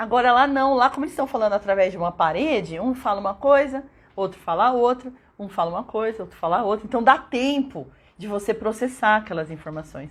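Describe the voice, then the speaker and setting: A woman with a fairly high pitch talks at a fairly quick pace in an animated tone, her intonation lively and her loudness swinging widely. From São Paulo state, Brazil (São Bernardo). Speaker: English teacher. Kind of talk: live stream talk.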